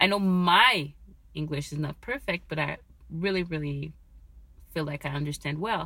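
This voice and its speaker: A woman's very deep, low voice in a French accent, bright and sharp in tone, at a moderate pace with long, frequent pauses. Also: ordinary pitch variation. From Quebec, Canada. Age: 30s. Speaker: Uber Eats driver, new podcaster. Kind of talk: casual solo talk recorded on phone. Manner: halting, searching for words.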